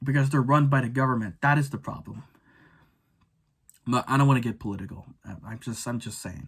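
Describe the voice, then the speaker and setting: A somewhat breathy man's voice at medium pitch, with ordinary pitch variation and a moderate pace. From Filipino background. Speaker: YouTuber. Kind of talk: rant video. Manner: halting, many repetitions and stutters.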